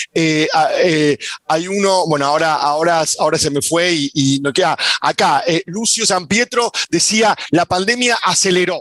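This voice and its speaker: The recording of this high-pitched man is dry and close with no echo, and his pitch varies in an ordinary way. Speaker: sociologist. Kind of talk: panel talk. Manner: fast.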